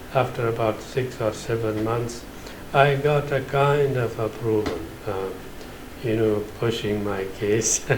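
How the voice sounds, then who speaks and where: A man speaks with fairly even intonation, with audible room echo and noticeable background noise. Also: medium pitch for a man, fairly slow pace. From Afghanistan, Nangarhar. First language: Pashto. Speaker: Islamic finance scholar. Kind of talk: interview. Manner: halting, many filler sounds.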